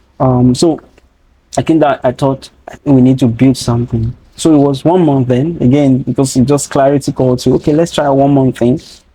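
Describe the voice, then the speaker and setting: In a strong Nigerian accent, a man speaks at a medium pitch and a moderate pace with monotone, flat intonation. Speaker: data training founder. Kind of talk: interview conversation.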